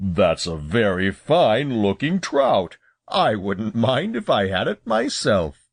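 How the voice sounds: A man speaks in a rumbling, put-on character voice at medium pitch and a fairly slow pace, over a quiet background.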